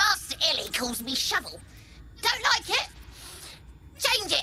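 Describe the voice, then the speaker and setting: An extremely high-pitched, put-on character voice at a moderate pace amid clear background noise. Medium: video game. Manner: blunt, clipped.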